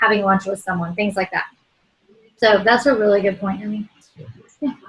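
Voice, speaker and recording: A woman is speaking. Her pitch sits at a medium level. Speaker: network marketing team leader. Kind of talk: online team training call. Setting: video call. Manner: fast.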